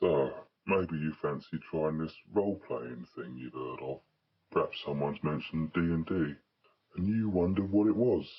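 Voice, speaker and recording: Using a put-on character voice, a man talks at a moderate pace in a very deep, low pitch with long, frequent pauses. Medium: solo performance. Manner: chatty, blunt, cheeky, swears freely.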